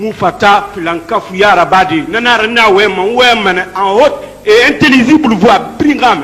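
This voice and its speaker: A man speaks loudly and fairly slowly, with a high pitch and lively intonation. Audible room echo and noticeable background noise are present. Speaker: defendant. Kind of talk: court testimony.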